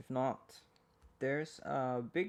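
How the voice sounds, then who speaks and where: A man's medium-pitched voice with a Swedish accent, at a fairly slow pace. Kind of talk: ASMR ramble, poetry reading. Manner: close-up, rambling.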